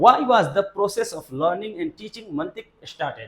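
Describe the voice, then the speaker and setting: High male pitch with very wide swings. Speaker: Islamic madrasa teacher. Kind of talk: lecture. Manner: simple deliberate speech.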